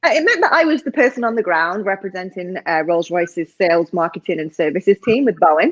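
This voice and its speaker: A woman with a northern English accent speaks fairly quickly in a medium pitch with lively intonation and hardly any pauses. The sound is dry and close, with no echo. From northern England. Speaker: executive coach. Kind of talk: interview.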